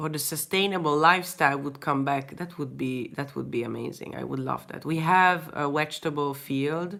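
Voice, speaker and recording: At a moderate pace, a woman with a Hungarian accent speaks in a very deep, low voice with fairly even intonation. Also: hardly any pauses. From Hungary. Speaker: artist. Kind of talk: casual chat. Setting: live stream. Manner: halting.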